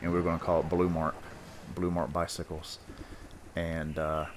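Monotone, flat intonation with a North Carolina accent. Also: man. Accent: North Carolina Southern US. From North Carolina, US South. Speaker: podcast host, gamer. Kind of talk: casual chat.

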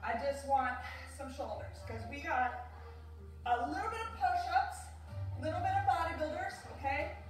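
Clear music plays behind a woman speaking at a moderate pace, with audible room echo. Her loudness swings widely. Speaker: fitness instructor. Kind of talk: workout instruction. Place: home room. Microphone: camera far.

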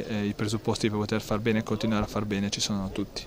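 A man talks at a fairly low pitch, the sound dry with no echo. Noticeable background noise runs underneath. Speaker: football coach or player. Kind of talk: post-match interview, reflecting on the game. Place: open country.

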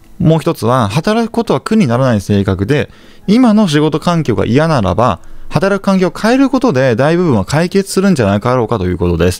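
Swinging very widely in pitch, a man speaks rather quickly. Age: 30s. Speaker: real estate investor and YouTuber. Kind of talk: monologue to camera, informal lecture. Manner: polite, conversational with filler words.

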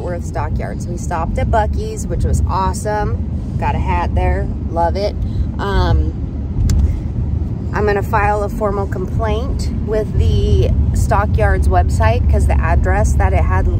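Over loud background noise, a woman talks at a fairly slow pace with ordinary pitch variation and a dry sound with no echo. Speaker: family road trip vlogger. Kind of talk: casual vlog chat. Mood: wry, mildly annoyed. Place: car. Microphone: phone near.

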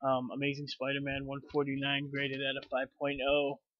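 A man's fairly high voice, monotone and flat, with an American accent and a quiet background. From Chicago, US Midwest. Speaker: YouTuber, comic book collector. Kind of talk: casual vlog. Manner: halting, many fillers. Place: home room. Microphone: webcam.

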